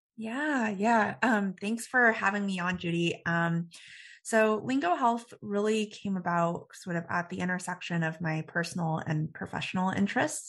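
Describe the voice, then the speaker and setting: In a normal speaking voice, a woman with an American accent talks at a moderate pace against a quiet background. Her medium pitch shows ordinary variation. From Texas (Dallas suburbs). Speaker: startup founder. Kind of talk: interview. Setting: studio.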